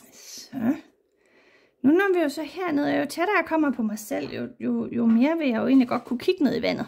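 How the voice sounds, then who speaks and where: Lively in intonation, a woman speaks at a high pitch and a moderate pace. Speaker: watercolour artist and teacher. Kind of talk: painting tutorial. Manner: casual, hesitant with fillers.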